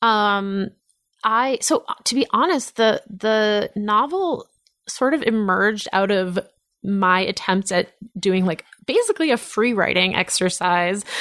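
In a normal speaking voice, a woman speaks at a fairly slow pace and fairly high pitch, with ordinary pitch variation, very even loudness and a quiet background. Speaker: author and journalist. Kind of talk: casual chat. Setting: studio.

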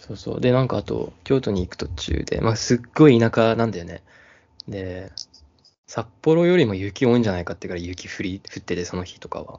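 A man talks at a fairly quick pace in an unremarkable speaking voice. His intonation is lively, and his loudness swings widely. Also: fairly low pitch for a man. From Hokkaido, Japan. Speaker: podcast co-host. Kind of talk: casual chat.

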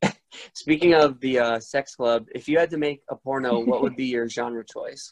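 Recorded with a dry, close sound and no echo, a man with an unremarkable speaking voice talks at a moderate pace, his medium pitch held to a fairly even intonation. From Rhode Island, US. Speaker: podcast host. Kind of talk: casual chat.

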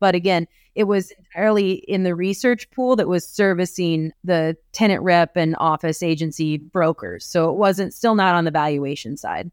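In a normal speaking voice with an American accent, a woman talks at a moderate pace with hardly any pauses, her pitch fairly low and its variation ordinary, on a very clean recording with a silent background and a dry, close sound with no echo. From US Midwest, rural eastern Iowa. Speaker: real estate appraiser. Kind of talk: interview.

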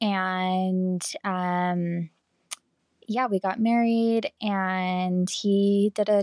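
The speaker has an American accent, in a very clean recording with a silent background. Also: woman, dry, close sound with no echo. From Utah. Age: 20s. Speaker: podcast guest, young mother. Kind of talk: casual chat.

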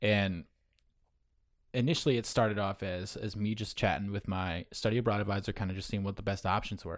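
Speaking at a moderate pace with fairly even intonation, a man with an American accent uses a plain, everyday voice at a fairly low pitch, on a very clean recording with a silent background. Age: 20s. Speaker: podcaster. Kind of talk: casual chat.

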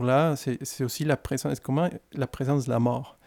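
In a very clean recording with a silent background and a dry, close sound with no echo, a man with a Spanish accent speaks at a moderate pace in a fairly high pitch, his dark, mellow tone held in monotone, flat intonation. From Mexico, Guadalajara. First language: Spanish (speaking French). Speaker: care worker and former doctor. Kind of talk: interview. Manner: hesitant, with fillers.

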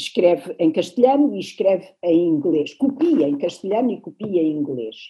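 Her medium pitch moves in very wide pitch swings as the woman speaks. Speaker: literature professor. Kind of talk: lecture. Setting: video call.

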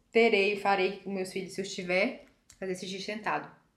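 A woman talks at a fairly quick pace and a medium pitch, her intonation monotone and flat. Audible room echo surrounds her voice. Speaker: podcast co-host. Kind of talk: casual chat.

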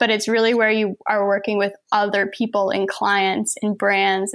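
A normal speaking voice at a moderate pace. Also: woman. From Saint John, New Brunswick, Canada. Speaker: photographer and artist. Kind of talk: casual chat.

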